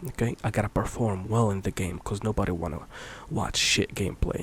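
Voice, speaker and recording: A soft-spoken man talks. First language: Arabic. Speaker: ASMR youtuber, former streamer. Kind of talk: soft-spoken ramble. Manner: halting.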